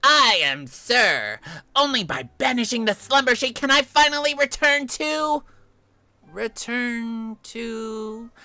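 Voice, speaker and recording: Someone puts on a character voice, speaking at a fairly slow pace with a fairly high pitch. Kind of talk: theatrical, pausing. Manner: overly dramatic, emotional.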